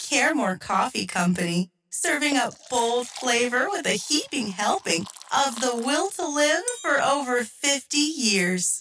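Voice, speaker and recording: In a put-on character voice, the lines come at a fairly slow pace. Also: female-sounding voice, high pitch for a woman. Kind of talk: commercial advertisement voice. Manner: chipper, salesy.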